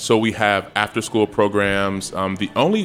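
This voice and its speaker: This man has an ordinary speaking voice, a fairly low pitch, an American accent and a moderate pace. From Chicago. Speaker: nonprofit executive director. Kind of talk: casual interview.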